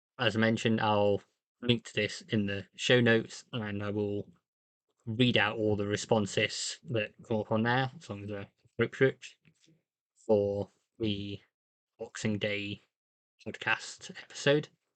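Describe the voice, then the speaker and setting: In a British accent, a man speaks at a fairly low pitch and fairly slow pace, with monotone, flat intonation and long, frequent pauses. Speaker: podcast host. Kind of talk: solo podcast monologue.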